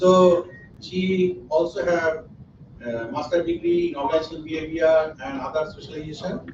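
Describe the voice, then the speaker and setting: A man talks at a fairly quick pace and a fairly high pitch, with ordinary pitch variation. Noticeable background noise and audible room echo fill the recording. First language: Bengali. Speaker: academic conference organizer. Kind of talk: conference opening remarks.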